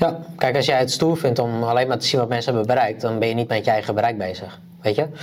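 This man talks very fast. His voice sits at a medium pitch. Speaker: podcast co-host. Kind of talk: casual chat.

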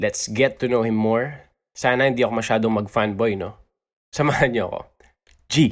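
In a very clean recording with a silent background, a man with a Filipino accent speaks at a moderate pace and medium pitch, with ordinary pitch variation. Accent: Filipino English, Taglish. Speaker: podcast host. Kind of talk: casual chat, interview. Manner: animated, excitable.

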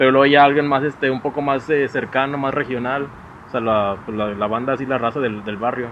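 Over noticeable background noise, a man of medium pitch speaks at a fairly quick pace with fairly even intonation. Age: 40s. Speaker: podcast host. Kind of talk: casual interview chat. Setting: home recording with camera.

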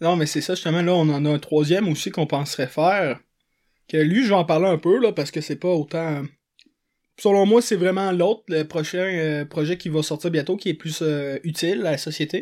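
A man's high voice with ordinary pitch variation at a moderate pace, on a very clean recording with a silent background. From Quebec, Montreal south shore. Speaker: podcast host. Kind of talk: casual chat.

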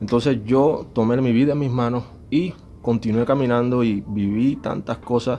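This man has an ordinary speaking voice, pitched in the medium range, with fairly even intonation. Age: 40s. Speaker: musician. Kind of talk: testimony.

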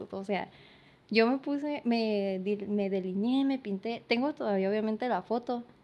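With a quiet background, a woman uses a normal speaking voice, fairly high in pitch, at a moderate pace with ordinary pitch variation. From San Luis Río Colorado, Sonora, Mexico. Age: 20s. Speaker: painter and makeup artist. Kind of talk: casual interview chat.

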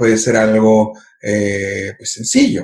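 A man with a medium-pitched voice sounds somewhat breathy. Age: 30s. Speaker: filmmaker. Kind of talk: casual chat.

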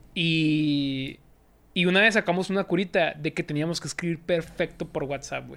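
Against a silent background in a very clean recording, a man speaks at a moderate pace with a fairly high pitch. He has a plain, everyday voice, with fairly even intonation and big swings in loudness. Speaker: sports youtuber. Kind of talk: casual chat.

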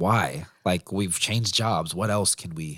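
A man's voice with vocal fry. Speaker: podcast editor, former ministry worker. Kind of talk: casual chat.

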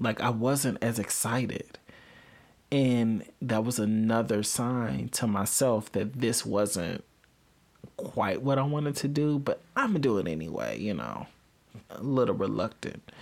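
Speaking fairly slowly in an American accent, a man sounds animated, with ordinary pitch variation. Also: medium pitch for a man. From Illinois, near Chicago. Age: 20s. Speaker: podcast host. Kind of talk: solo monologue podcast.

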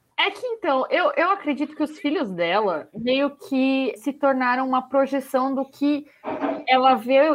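There is noticeable background noise as a woman speaks at a fairly slow pace. Her high-pitched voice carries lively intonation. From Brazil. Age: 20s. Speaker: podcast co-host. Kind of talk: casual chat.

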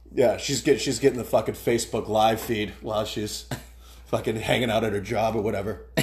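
A man speaks with vocal fry. His intonation is fairly even. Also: medium pitch for a man, fairly quick pace. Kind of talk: casual banter, heckling-style quips. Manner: quick, sarcastic, deadpan interjections.

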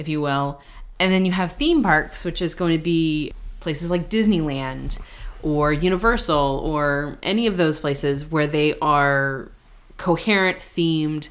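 With an American accent, a woman with a very deep, low pitch speaks at a fairly slow pace with ordinary pitch variation. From US West Coast. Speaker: podcast co-host and former theme park cast member. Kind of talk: casual chat.

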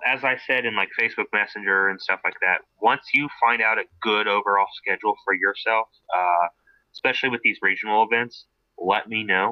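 A man with an American accent and an unremarkable speaking voice, medium in pitch, with fairly even intonation and a fairly quick pace. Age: 20s. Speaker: car enthusiast co-host, auto mechanics student. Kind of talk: casual chat.

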